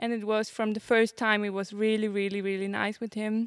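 With a German accent, a woman speaks at a fairly quick pace in a fairly high pitch, the sound dry and close with no echo. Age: 20s. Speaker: show jumping rider. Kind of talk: interview. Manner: halting.

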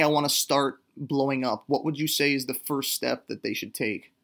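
Here a man with a fairly high pitch and a normal speaking voice speaks at a moderate pace. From Canada. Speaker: songwriter. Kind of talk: interview.

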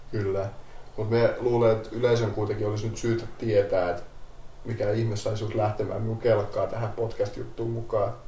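At a fairly quick pace, a man talks in a monotone, flat intonation with audible room echo. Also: medium pitch for a man. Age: 30s. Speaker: paramedic. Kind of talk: casual chat.

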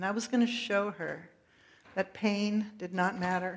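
This is a woman's voice. The intonation holds fairly even throughout. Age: middle-aged. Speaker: pastor. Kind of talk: sermon. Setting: church. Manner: loud.

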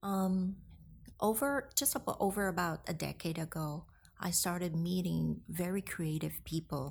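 A woman at a very slow pace, on a very clean recording with a silent background. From Hong Kong and the Philippines. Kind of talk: interview conversation. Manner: halting.

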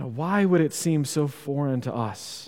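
A man's dark, mellow voice at a moderate pace. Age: 40s. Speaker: pastor. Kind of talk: sermon.

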